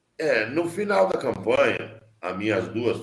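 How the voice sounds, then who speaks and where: A man speaks with lively intonation, and audible room echo surrounds his voice. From southern Mato Grosso, Brazil. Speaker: politician. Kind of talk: interview. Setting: video call.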